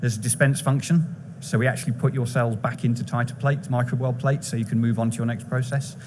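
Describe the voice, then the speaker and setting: With an English accent, a man rattles on at a very fast pace and medium pitch, with hardly any pauses, fairly even intonation and audible room echo. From England. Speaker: chief technical officer of a biotech company. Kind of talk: conference presentation. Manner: brisk.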